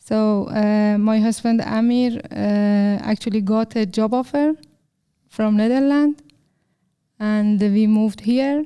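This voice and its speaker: A woman with a Persian accent speaks at a very slow pace in a dark, mellow tone. Her pitch is fairly high, her intonation fairly even, and her loudness very even. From Iran. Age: 30s. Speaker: software developer. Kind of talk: interview. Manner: halting, many fillers.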